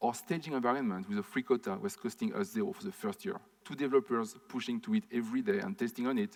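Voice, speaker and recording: A man's high-pitched voice in a French accent, fairly quick, with very wide pitch swings. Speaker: conference speaker, startup founder. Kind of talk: conference talk Q&A. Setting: stage with audience, recorded. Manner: fast.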